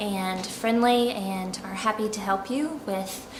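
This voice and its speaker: A woman with an American accent speaks over noticeable background noise, her voice carrying an audible room echo. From US South, Charleston, South Carolina. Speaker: expat interviewee. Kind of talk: interview. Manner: hesitant, many fillers.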